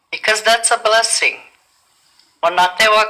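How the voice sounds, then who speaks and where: Bright and sharp in tone, a woman's voice moves with ordinary pitch variation. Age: old. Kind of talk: public speech at community meeting. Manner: earnest, emphatic.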